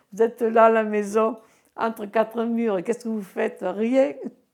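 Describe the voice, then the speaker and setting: A woman speaks at a fairly slow pace. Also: very clean recording, silent background. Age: 60s. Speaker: retired bingo caller. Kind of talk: interview testimony. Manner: clear speaking; animated, hesitant.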